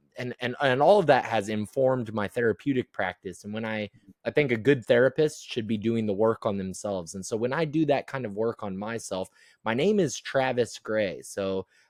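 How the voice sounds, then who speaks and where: Speaking with a Midwestern American accent, a man lets his loudness swing widely. The recording is very clean and silent in the background, with a dry, close sound and no echo. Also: medium pitch for a man, ordinary pitch variation, moderate pace. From US Midwest, Iowa. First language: American Sign Language. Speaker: transpersonal psychologist. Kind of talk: interview conversation. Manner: halting, many repeated words.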